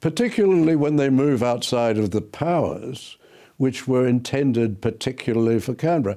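Against a quiet background, a man with an Australian accent speaks at medium pitch and a moderate pace in a dark, mellow tone, with ordinary pitch variation and very even loudness. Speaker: law professor. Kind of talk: interview, explaining history.

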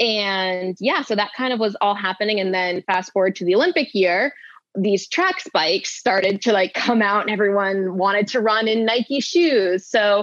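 A woman talks in a normal speaking voice with an American accent. Her pitch is medium, with ordinary pitch variation at a moderate pace. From Maine, US. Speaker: professional runner. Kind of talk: casual chat. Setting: studio.

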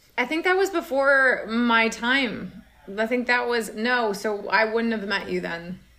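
Someone with an American accent speaks fairly slowly with lively intonation. Noticeable background noise is present. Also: woman, fairly high pitch for a woman. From US Midwest, Minnesota. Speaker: actor and director. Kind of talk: casual interview.

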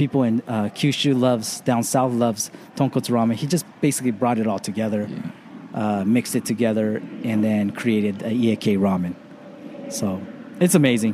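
A man with an American accent at a medium pitch, fairly quick pace and ordinary pitch variation. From Los Angeles suburbs, California. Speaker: ramen chef and consultant. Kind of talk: casual interview. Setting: outdoors on a beach.

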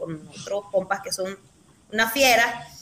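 Over noticeable background noise, a woman speaks at a fairly high pitch. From Nicaragua, León. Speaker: political activist. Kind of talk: interview.

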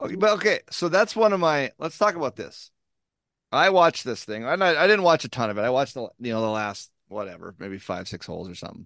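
A man speaks at a very fast pace with a fairly high pitch, very wide pitch swings and vocal fry. The sound is dry and close with no echo, over a quiet background. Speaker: golf podcast co-host. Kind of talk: casual chat. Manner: animated.

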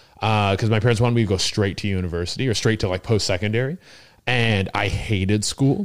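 In a very clean recording with a silent background, a man with a Canadian accent and a plain, everyday voice talks fairly quickly with fairly even intonation. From British Columbia, Canada. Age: 30s. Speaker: stand-up comedian. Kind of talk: casual chat. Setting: studio, sharing a mic on a couch.

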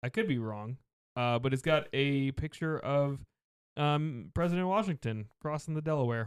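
A man talks in an ordinary speaking voice, fairly high in pitch, with ordinary pitch variation. The pace is moderate and the sound is dry and close with no echo. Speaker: podcast host. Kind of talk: casual chat.

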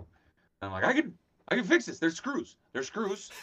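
A man is speaking. His pace is fairly quick. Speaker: toy collector and streamer. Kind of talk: casual chat. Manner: halting.

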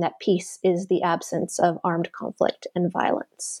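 A woman with an unremarkable speaking voice and a Canadian accent, medium in pitch and fairly slow, in a dry, close sound with no echo against a quiet background. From Canada. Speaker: academic author. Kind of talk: interview.

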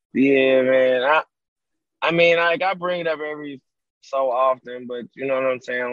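The man has a plain, everyday voice at a medium pitch, with fairly even intonation. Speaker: music producer. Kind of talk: casual interview. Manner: laid-back, filler-heavy.

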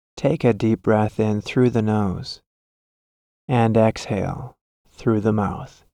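A man with a medium pitch and a dark, mellow, calm, soothing tone talks at a very slow pace, with fairly even intonation, very even loudness and long, frequent pauses. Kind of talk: guided meditation. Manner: slow, calm, soothing.

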